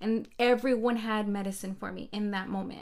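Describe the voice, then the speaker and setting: This woman has an unremarkable speaking voice with a fairly high pitch. She moves at a fairly quick pace with fairly even intonation. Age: 30s. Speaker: life coach and podcast co-host. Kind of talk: casual chat.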